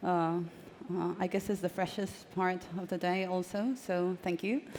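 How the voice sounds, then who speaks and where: Speaking in a Spanish accent, a woman keeps a moderate pace with ordinary pitch variation. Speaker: journalist and author. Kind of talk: panel talk. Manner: halting.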